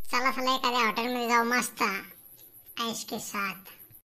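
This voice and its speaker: A cartoonish character voice delivers its lines in a flat monotone at a moderate pace. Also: woman, high pitch for a woman. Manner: mocking, jovial.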